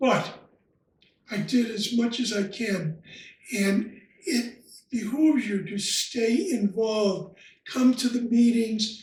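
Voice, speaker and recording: Pausing long and often, a man speaks at a very slow pace with an extremely high pitch and ordinary pitch variation. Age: 80s+. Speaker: retired lodge member. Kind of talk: interview. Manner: halting.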